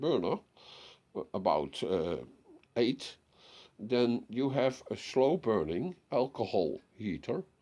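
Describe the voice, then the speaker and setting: A man at medium pitch with a Dutch accent, a dark, mellow tone, vocal fry, very wide pitch swings and a very slow pace. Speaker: DIY hobbyist. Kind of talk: tutorial. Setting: home workshop. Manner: halting.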